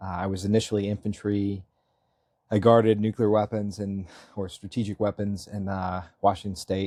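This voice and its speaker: A man with an American accent at fairly low pitch and moderate pace, with monotone, flat intonation and a dark, mellow tone, in a dry, close sound with no echo on a very clean recording with a silent background. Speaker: Marine veteran and local election candidate. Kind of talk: interview. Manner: halting, many fillers and restarts.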